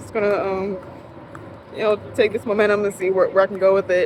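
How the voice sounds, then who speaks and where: Noticeable background noise accompanies a woman who is soft-spoken. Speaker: vlogger and designer. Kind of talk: casual vlog talk. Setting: hotel room. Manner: halting, many fillers.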